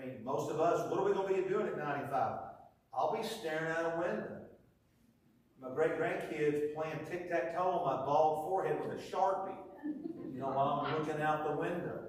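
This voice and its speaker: With an American accent, a man speaks at a fairly quick pace and fairly high pitch, with ordinary pitch variation. Noticeable background noise and audible room echo are present. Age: 60s. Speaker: preacher. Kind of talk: sermon. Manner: animated.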